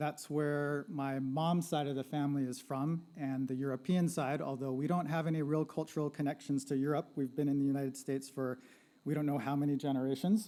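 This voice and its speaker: Speaking at a fairly quick pace, a man has a dark, mellow tone, a fairly high pitch and fairly even intonation. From Southern California. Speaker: sociology lecturer. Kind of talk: panel presentation. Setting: live-streamed panel with audience. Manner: casual, conversational.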